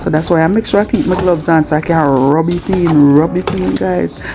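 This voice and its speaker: Against noticeable background noise, a woman speaks with a Jamaican accent. Her very deep, low voice has lively intonation. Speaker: cooking vlogger. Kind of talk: cooking tutorial voiceover. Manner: calm, soft-spoken.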